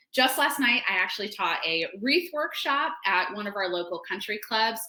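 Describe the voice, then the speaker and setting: A woman at a moderate pace, fairly high in pitch and animated in tone, with very wide pitch swings and noticeable background noise. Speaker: florist and floral design teacher. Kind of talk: webinar tutorial. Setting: online webinar.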